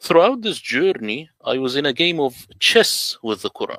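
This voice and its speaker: A man speaks at a moderate pace with an Arabic accent. The sound is dry and close, with no echo. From Middle East. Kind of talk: presentation.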